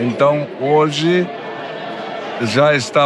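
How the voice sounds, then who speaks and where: With audible room echo, a man speaks at a very slow pace and a fairly high pitch, with ordinary pitch variation. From southern Brazil, Timbó (Santa Catarina). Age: 80s+. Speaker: church member giving testimony. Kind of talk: testimony.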